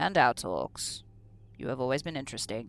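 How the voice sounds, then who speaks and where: Using a put-on character voice, the speaker talks at a moderate pace in a low-to-middle pitch on a very clean recording with a silent background. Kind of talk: horror narration. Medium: read story. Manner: regal, menacing, prophetic.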